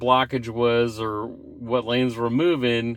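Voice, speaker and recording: A man is speaking. His pace is fairly slow. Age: 60s. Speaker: product reviewer. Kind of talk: casual product review. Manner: casual, halting.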